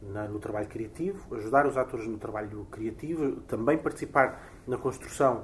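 A man is speaking. His voice is somewhat breathy. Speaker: theatre director. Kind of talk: interview. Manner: fast.

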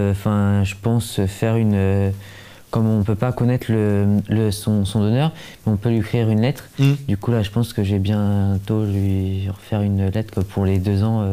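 A man speaks fairly slowly at a fairly low pitch in a dark, mellow tone. His intonation is monotone and flat, and his loudness stays very even. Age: young. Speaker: bone marrow transplant recipient and awareness campaigner. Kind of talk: casual interview.

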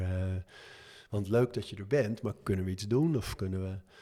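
Over a silent background in a very clean recording, a man talks at a fairly quick pace, somewhat breathy, with ordinary pitch variation. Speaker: author and gym owner. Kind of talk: interview.

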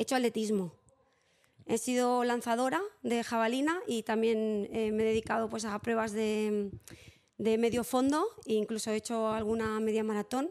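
A woman's ordinary speaking voice at a fairly high pitch, moderate pace and fairly even intonation. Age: 40s. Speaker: psychologist and early childhood educator. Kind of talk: interview.

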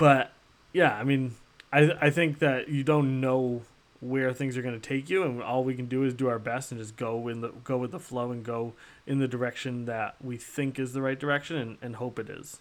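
A man talks at a moderate pace with a medium pitch. His is a plain, everyday voice, with fairly even intonation. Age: 30s. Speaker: podcast host. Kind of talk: casual chat. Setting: live stream.

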